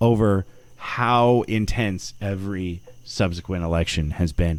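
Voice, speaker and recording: A man speaks at a very slow pace. His fairly low voice shows ordinary pitch variation. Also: very clean recording, silent background. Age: 40s. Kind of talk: casual chat. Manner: halting, many fillers.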